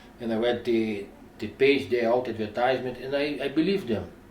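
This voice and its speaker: A man speaks at a moderate pace in a somewhat breathy voice. Audible room echo surrounds him. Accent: non-native. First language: not English. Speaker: news cameraman reviewing cameras. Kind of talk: product review. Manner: halting.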